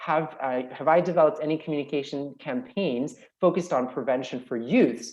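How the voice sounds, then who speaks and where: The speaker is a man. His pitch sits fairly high. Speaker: paediatrician. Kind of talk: webinar Q&A. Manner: fast.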